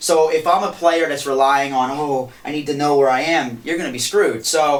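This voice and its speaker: A fairly high-pitched man with noticeable background noise. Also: fairly even intonation. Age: young. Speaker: touring blues guitarist. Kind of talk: interview. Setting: studio. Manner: fast.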